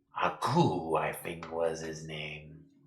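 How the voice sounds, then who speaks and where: A man's put-on character voice, very deep and low, in monotone, flat intonation. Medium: actual play. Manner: slow, ponderous, humming "hmm".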